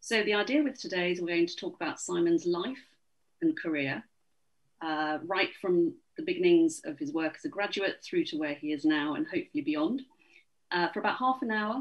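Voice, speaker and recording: Speaking at a fairly quick pace, a woman is heard with a quiet background. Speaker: event host. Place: home room. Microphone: video call.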